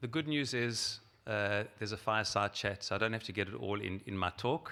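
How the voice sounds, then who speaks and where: Fairly low in pitch, a man talks with lively intonation and a bright, sharp tone in a South African accent. The recording is very clean, with a silent background. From South Africa, Johannesburg. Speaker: rabbi and organization president. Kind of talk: keynote speech.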